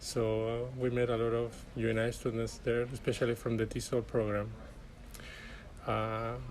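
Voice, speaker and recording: A man with a Chilean accent speaks at a moderate pace in a medium pitch, leaving long, frequent pauses. His intonation is monotone and flat, and his loudness very even. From Chile (Arica, far north). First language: Spanish. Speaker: graduate student. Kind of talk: interview.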